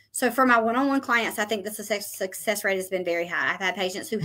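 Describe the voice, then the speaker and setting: The intonation here is lively. It is an unremarkable speaking voice. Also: woman. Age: 40s. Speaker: nurse practitioner. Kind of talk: interview.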